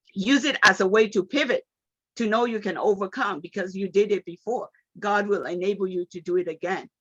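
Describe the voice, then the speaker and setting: A woman's medium-pitched voice in a Nigerian accent at a fairly quick pace, with ordinary pitch variation and a dry, close sound with no echo. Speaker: motivational speaker. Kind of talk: motivational talk. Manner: animated.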